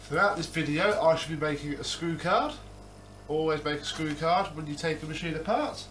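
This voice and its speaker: A man talks at a fairly quick pace. His intonation stays fairly even over light background noise. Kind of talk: tutorial. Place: home room. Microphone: camera far.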